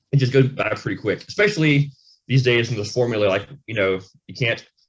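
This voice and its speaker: A man mumbles at a fairly quick pace, his medium-pitched voice somewhat breathy. The words come out blurred. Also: ordinary pitch variation, big swings in loudness. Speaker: rock band frontman and singer. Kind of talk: casual interview chat. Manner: mumbling; fast.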